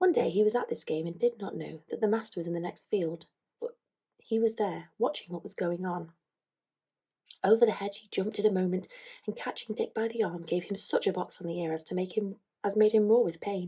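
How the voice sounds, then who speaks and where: A soft-spoken woman at a medium pitch, with fairly even intonation, a fairly quick pace, and big swings in loudness. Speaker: ASMR creator. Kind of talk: reading aloud.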